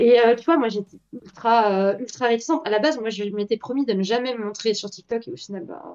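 In an ordinary speaking voice, a woman talks at a fairly quick pace. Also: fairly high pitch for a woman, ordinary pitch variation. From Belgium. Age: 20s. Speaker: artist and TikTok creator. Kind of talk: casual interview. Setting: live stream interview.

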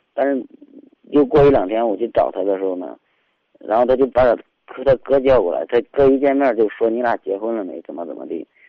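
Pitch varies in an ordinary way as the speaker moves along at a fairly quick pace. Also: man, medium pitch for a man. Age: 30s. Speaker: caller, building materials businessman. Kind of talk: advice call-in. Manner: halting.

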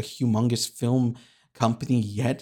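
In a very clean recording with a silent background, a man has an unremarkable speaking voice at medium pitch with fairly even intonation. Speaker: podcast host. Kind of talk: solo podcast monologue, casual. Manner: deadpan, self-deprecating.

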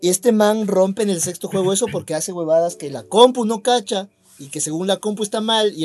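This man talks at a fairly quick pace. His pitch is high, with ordinary variation. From Ecuador. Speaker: podcast co-host. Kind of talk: casual chat.

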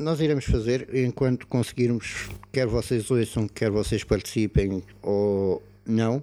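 Fairly even intonation runs through this man's dark, mellow tone. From Portugal, Algarve (Portimão). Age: 30s. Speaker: podcast co-host. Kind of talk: casual chat.

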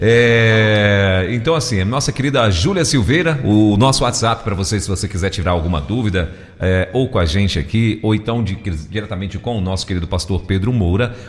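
He has an ordinary speaking voice, a man at a fairly low pitch with ordinary pitch variation, speaking at a moderate pace with hardly any pauses. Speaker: radio host. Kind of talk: radio talk show.

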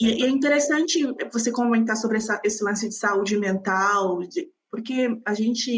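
Somewhat breathy, a woman talks at a moderate pace and fairly high pitch with ordinary pitch variation. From Brazil, São Paulo ABC region. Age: 20s. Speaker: podcaster. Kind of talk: interview.

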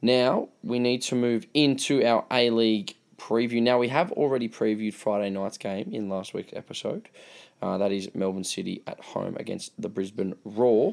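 A man with a medium-pitched voice talks at a moderate pace, captured in a very clean recording against a silent background. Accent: Australian. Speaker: football podcast host. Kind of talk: casual chat.

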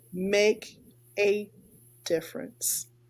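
Her voice fairly high in pitch yet dark and mellow in tone, a woman speaks at a very slow pace. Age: 50s. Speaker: podcast host. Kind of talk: casual interview. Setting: video call.

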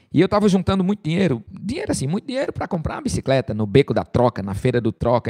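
A man with a northeastern Brazilian accent, very wide pitch swings, and a dry, close sound with no echo. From Brazil, Rio Grande do Norte (Caicó). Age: 40s. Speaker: preacher. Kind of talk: sermon.

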